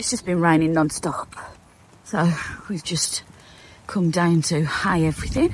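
A woman speaks at a fairly slow pace. Her fairly low voice has a slightly husky edge. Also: ordinary pitch variation.

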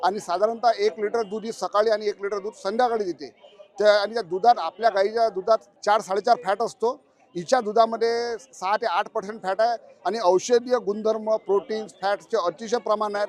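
The voice belongs to a man with a high pitch. Fairly even intonation runs through his speech. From Vidarbha, Maharashtra (Akola district). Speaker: cow breeder and farmer. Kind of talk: interview at a livestock exhibition. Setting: livestock exhibition.

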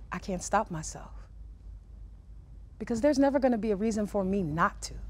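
A woman at a fairly quick pace. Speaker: spoken word poet. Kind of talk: poetry reading. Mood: emotional, heartfelt. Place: studio.

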